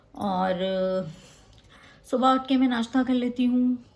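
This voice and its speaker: A woman speaks in a somewhat breathy voice. Her intonation stays fairly even. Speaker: vlogger. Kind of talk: casual vlog talk.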